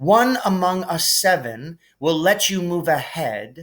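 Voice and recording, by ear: Doing a put-on character voice, a man speaks slowly in a fairly high pitch, with a fairly bright tone and lively intonation.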